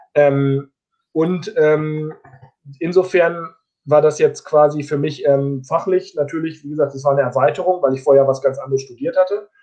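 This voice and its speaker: With an ordinary speaking voice, a man talks at a moderate pace, fairly high in pitch and with ordinary pitch variation. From northern Germany, Osnabrück area. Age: 30s. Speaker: distance learning graduate. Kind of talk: interview. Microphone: connection lag.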